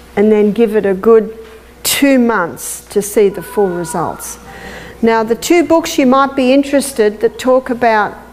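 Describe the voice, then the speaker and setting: A woman with an Australian accent speaks at a fairly high pitch, with noticeable background noise behind her. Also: ordinary pitch variation. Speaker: health lecturer. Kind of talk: lecture.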